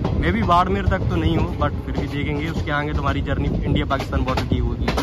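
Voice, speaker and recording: A man talks at a moderate pace. The sound is dry with no echo, and music plays clearly in the background. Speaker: travel vlogger. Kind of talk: casual vlog chat. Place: train. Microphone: phone near.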